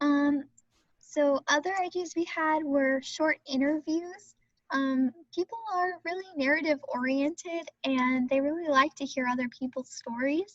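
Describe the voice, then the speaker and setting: Here a woman speaks at a high pitch, with ordinary pitch variation. Her pace is fairly slow, and the sound is dry and close with no echo. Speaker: presenter. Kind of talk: presentation.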